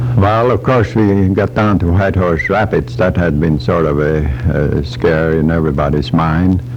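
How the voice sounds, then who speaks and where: A man speaks with a very deep, low pitch and lively intonation. His loudness stays very even, and there is noticeable background noise. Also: moderate pace. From Norway. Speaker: Alaska gold rush pioneer. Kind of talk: radio interview answer.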